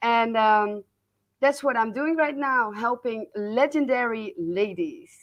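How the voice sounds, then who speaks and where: A woman with a Dutch accent, fairly high in pitch, at a fairly slow pace with ordinary pitch variation. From Netherlands. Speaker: business coach. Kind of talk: interview. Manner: halting.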